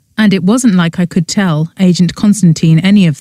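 Reading aloud in a natural voice.

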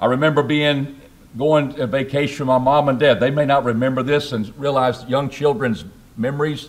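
The pace is moderate. A man is the one talking. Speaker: preacher. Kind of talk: sermon. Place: church. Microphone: podium.

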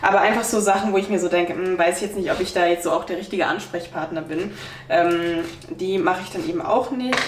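A woman talks at a fairly quick pace with few pauses. Her pitch is fairly low, and faint background noise can be heard. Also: ordinary pitch variation.

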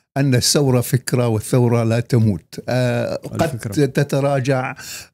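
A dark, mellow tone at a very slow pace, with fairly even intonation and a dry sound without echo. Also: man. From Syria, Idlib near Aleppo; Syria. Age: 70s. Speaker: journalist and poet; journalist, poet. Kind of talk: interview. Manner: formal. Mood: earnest, reflective. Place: studio. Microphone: studio mic.

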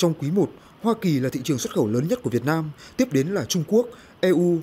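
Recorded very cleanly against a silent background, a man with a dark, mellow tone and fairly high pitch speaks fairly quickly with very wide pitch swings. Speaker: news reporter. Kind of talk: news reading. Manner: formal.

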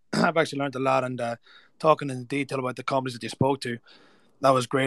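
Speaking at a very fast pace, a man with an Irish accent has a fairly high pitch in a dry, close sound with no echo. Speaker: event speaker. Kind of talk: informal, calls listeners "lads". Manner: casual, conversational, uses filler like "you know".

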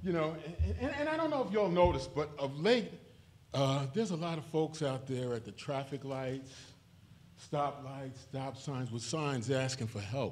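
Speaking at a fairly slow pace, a man with a medium pitch and a slightly mellow tone uses lively intonation.

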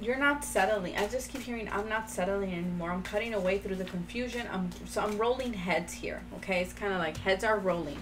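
Noticeable background noise sits beneath a woman who speaks at a fairly quick pace. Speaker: tarot card reader. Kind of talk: tarot reading commentary. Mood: upbeat, encouraging. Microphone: phone near.

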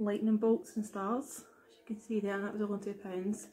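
A somewhat breathy woman's voice, medium in pitch, dark and mellow in tone, monotone and flat, at a fairly quick pace. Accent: Glaswegian. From Scotland, Glasgow. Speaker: YouTuber. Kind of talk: product haul vlog. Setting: at home. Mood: cheerful, relaxed. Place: home room. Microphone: webcam.

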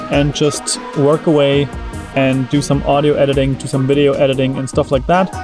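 A man speaks at a moderate pace with clear music in the background, the sound dry with no echo. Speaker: travel vlogger. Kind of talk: casual vlog chat. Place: car. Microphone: phone near.

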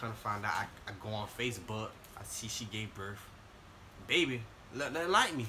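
A man talks at a fairly quick pace in a fairly low pitch. Noticeable background noise can be heard. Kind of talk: casual storytelling to camera. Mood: playful, joking. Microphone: phone near.

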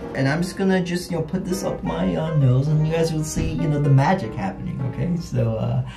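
With clear music in the background, a man talks at a fairly quick pace with hardly any pauses. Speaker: vlogger. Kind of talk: casual talk to camera. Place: bathroom. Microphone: phone near.

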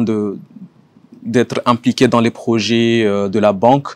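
This man talks at a fairly slow pace in a medium pitch, with fairly even intonation and a dry sound with no echo. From Comoros. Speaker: economics professor. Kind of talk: self-introduction video. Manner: hesitant, many fillers. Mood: calm, measured. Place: garden.

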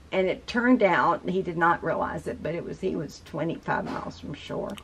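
A woman with vocal fry, fairly low pitch, a fairly bright tone, ordinary pitch variation and a moderate pace

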